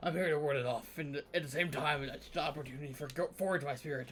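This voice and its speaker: Raspy and fairly high in pitch, a man performs a put-on character voice. He talks at a very fast pace with fairly even intonation. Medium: game stream. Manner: solemn, storytelling.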